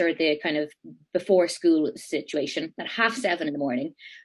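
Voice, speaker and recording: A woman speaks in an Irish accent at a moderate pace. Her intonation is lively. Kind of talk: interview answer. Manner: casual, animated.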